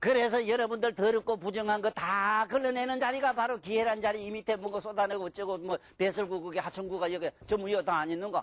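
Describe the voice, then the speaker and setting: Speaking with a strong Gyeongsang accent, the voice races along at a very fast pace in an animated tone. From Gyeongsang province, Korea (Mungyeong). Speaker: lecturer on classical Chinese texts. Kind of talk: lecture. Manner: animated, colloquial.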